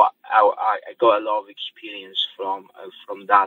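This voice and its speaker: A man speaks with a Polish accent. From Poland. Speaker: property auction specialist. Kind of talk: podcast interview. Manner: hesitant, many fillers.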